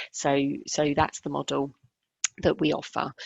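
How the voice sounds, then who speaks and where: A woman in a British accent at a moderate pace. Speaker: care funding adviser. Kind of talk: webinar presentation.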